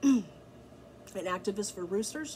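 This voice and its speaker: Somewhat breathy, a woman speaks at a moderate pace with audible room echo. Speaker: backyard chicken keeper and blogger. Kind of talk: tutorial. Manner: casual, filler-heavy with ums.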